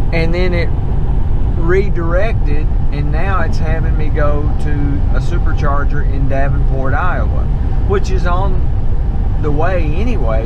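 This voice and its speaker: The recording has loud background noise and a dry sound with no echo. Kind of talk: casual vlog chat. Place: car. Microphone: camera far.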